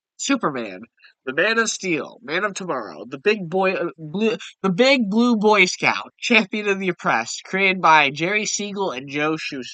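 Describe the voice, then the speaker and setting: A man with a high pitch speaks in a raised, projected voice at a moderate pace. His tone is bright and sharp, with lively intonation. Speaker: YouTuber discussing comics. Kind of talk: casual video commentary.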